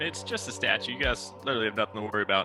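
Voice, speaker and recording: A man puts on a character voice, pitched fairly low and delivered at a very fast pace. Clear background noise runs underneath. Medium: actual play. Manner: flippant, casual.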